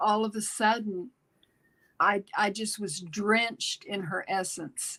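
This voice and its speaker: This woman's voice has a bright, sharp tone and fairly even intonation. She talks at a very slow pace. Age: 70s. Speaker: intuitive guest. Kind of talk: live interactive chat. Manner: halting.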